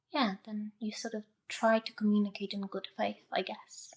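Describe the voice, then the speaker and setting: A woman's somewhat breathy voice at medium pitch and a moderate pace. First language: not English. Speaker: podcast listener. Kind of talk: interview conversation.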